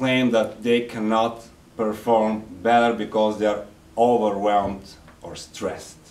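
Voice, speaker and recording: With a non-native accent, a man talks at a fairly slow pace in a fairly low pitch, his intonation monotone and flat while his loudness swings widely. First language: not English. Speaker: Toastmasters speaker. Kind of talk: public speech to audience.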